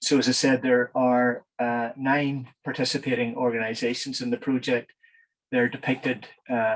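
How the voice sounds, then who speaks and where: A man with a Northern Irish accent, medium pitch and monotone, flat intonation at a fairly slow pace. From Northern Ireland. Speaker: engineer, project manager. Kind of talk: conference presentation. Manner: halting with many fillers.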